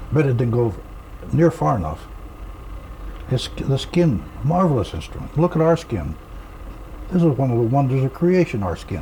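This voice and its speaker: Noticeable background noise runs under a man's medium-pitched voice. His pitch swings very widely, with long, frequent pauses. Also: moderate pace. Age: 80s+. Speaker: retired army officer, author. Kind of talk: interview. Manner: halting.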